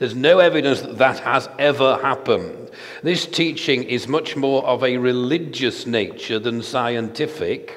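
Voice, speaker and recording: The speaker is a man. He uses ordinary pitch variation at a moderate pace. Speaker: preacher. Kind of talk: sermon. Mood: earnest, argumentative. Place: church. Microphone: headset.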